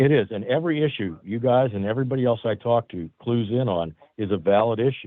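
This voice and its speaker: A man of medium pitch speaks very fast in an American accent, with ordinary pitch variation. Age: 60s. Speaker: constable. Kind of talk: public meeting comment.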